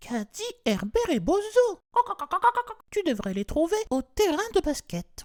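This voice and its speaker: Putting on a character voice, a man speaks at an extremely high pitch with very wide pitch swings, a fairly slow pace and long, frequent pauses. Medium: read story.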